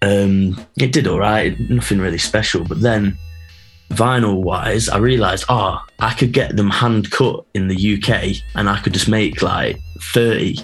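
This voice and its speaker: A man with an East Midlands accent talks at a fairly slow pace and a fairly low pitch. His intonation is fairly even and his loudness very even. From Nottingham, England. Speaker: DJ and record label founder. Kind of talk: casual interview.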